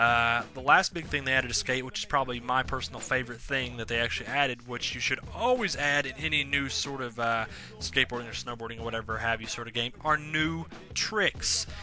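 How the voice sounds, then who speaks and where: A man talks at a fairly quick pace, with noticeable noise in the background. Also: medium pitch for a man, ordinary pitch variation. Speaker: video game reviewer. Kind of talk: solo video review. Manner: fast; casual, many filler words.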